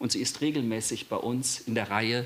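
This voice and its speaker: Intonation is kept fairly even. The speech moves at a moderate speed. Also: man. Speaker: event host. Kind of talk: welcome and introduction. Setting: evening event with audience. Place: hall. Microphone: podium.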